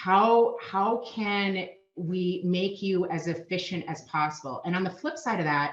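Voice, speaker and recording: A woman with a Minnesotan accent, medium pitch, ordinary pitch variation and a fairly slow pace. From Minnesota, US. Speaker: payment solutions sales manager. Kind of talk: podcast interview.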